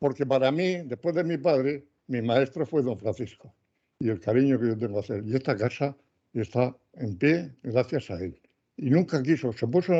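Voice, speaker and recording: Over a quiet background, a man of medium pitch with a dark, mellow tone talks at a moderate pace with ordinary pitch variation. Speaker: retired meteorologist, former student of the honoree. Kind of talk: speech at book presentation.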